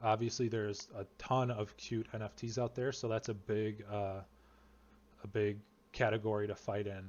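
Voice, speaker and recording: Flat and monotone, a man's medium-pitched voice moves at a moderate pace. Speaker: NFT project creator and video tutorial host. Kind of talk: tutorial. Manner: casual with many fillers.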